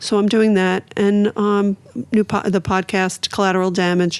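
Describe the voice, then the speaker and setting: With a Brooklyn accent, a woman speaks at a moderate pace in a monotone, flat intonation. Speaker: author and recovery advocate. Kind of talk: podcast interview.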